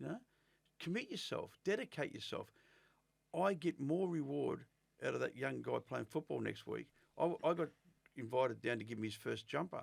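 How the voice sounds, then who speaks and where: Speaking with an Australian accent, a man keeps a moderate pace broken by long, frequent pauses. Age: 60s. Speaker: former career criminal. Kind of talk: interview.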